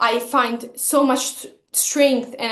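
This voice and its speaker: A woman's high-pitched voice in a non-native accent, monotone with flat intonation. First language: not English. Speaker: vlogger. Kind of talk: personal vlog monologue. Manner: halting, with self-corrections and fillers.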